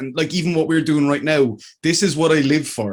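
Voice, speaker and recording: This man speaks in a Limerick accent at a fairly high pitch. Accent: Limerick Irish. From Ireland, County Clare, long in Limerick. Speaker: filmmaker and streamer. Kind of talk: casual podcast chat. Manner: animated.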